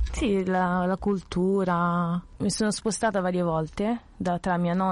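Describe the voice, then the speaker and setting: Monotone, flat intonation against a quiet background. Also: woman. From Italy, with childhood years in Ghana. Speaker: student. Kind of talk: testimony. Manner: halting.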